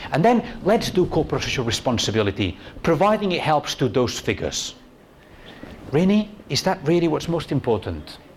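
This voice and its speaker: Talking at a fairly quick clip, a man swings his pitch very widely and breaks often for long pauses, with noticeable noise behind him. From Spain. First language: Spanish. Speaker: university tourism researcher, conference speaker. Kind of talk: conference talk. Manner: conversational, frequent "okay?" and fillers.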